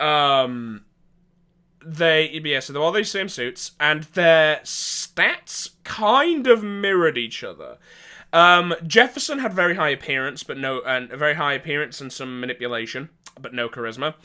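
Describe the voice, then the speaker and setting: A man's bright, sharp, fairly high voice with an English accent, lively intonation, big swings in loudness and a fairly slow pace, on a very clean recording with a silent background. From England. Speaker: tabletop gaming storyteller. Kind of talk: casual storytelling monologue. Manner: hesitant, many fillers.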